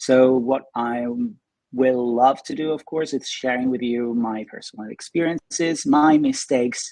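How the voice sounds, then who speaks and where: Here a man speaks at a medium pitch with a dark, mellow tone. His intonation is fairly even, and his pace is fairly slow. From Italy, Pisa. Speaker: film directing and screenwriting teacher. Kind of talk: online presentation. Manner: halting.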